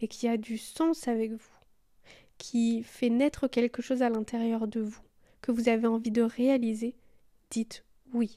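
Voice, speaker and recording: On a very clean recording with a silent background, a woman speaks fairly slowly in a high, dark, mellow voice with monotone, flat intonation. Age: 20s. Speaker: podcast host and yoga teacher. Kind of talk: solo podcast monologue.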